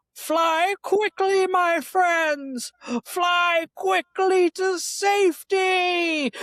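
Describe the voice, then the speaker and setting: An extremely high put-on character voice speaks at a very slow pace. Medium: actual play. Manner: urgent, protective.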